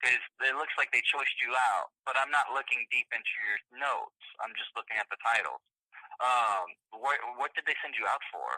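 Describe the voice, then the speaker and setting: Here a man speaks with an American accent at a moderate pace. The sound is dry and close, with no echo. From US South. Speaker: VA hospital staff member. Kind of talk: phone call.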